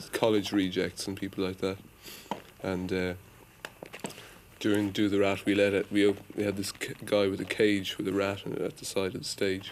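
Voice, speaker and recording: A man with an Irish accent speaks at a moderate pace in a fairly low, monotone, flat voice. He takes long, frequent pauses over noticeable background noise. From Ireland, Dublin. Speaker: rock musician. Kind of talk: interview.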